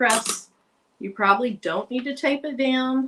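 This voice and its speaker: A woman with an American accent speaks in a high voice. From Arkansas. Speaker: crafter streaming a craft tutorial. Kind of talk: live craft tutorial and chat. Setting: live stream from home craft room. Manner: casual, chatty.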